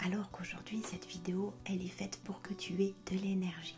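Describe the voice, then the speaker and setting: A woman's medium-pitched, flat monotone voice with music in the background. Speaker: hypnotherapist. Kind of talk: soft-spoken ASMR talk to viewer. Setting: background music. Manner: soft-spoken, a little louder and more dynamic than whispering.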